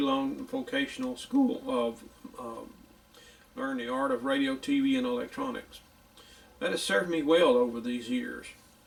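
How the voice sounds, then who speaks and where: A man's high voice with a Louisiana accent, very wide pitch swings and a moderate pace, over noticeable background noise. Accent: country Louisiana. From US South, northeast Louisiana. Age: 60s. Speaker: radio repair hobbyist. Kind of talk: tutorial; casual chat. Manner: casual.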